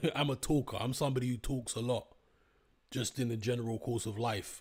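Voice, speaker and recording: The man's intonation is fairly even. There is a somewhat breathy quality to his voice. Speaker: YouTuber live-streamer. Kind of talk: casual live stream chat. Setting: live stream. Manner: off the cuff.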